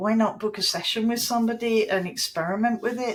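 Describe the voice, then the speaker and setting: A woman speaks with a British accent at a fairly quick pace. Her pitch is fairly high. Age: 60s. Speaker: creative coach and former magazine editor. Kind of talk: podcast interview.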